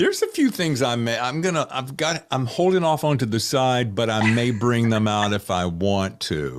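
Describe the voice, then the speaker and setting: A man with a North Carolina accent speaks at medium pitch and a moderate pace. His intonation is lively and he hardly pauses. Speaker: podcast host. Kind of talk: casual interview chat. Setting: video call. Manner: animated.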